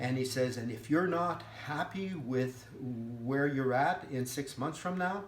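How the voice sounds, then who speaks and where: A fairly slow pace with audible room echo. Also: man. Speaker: veteran with PTSD. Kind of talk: personal testimony. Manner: halting.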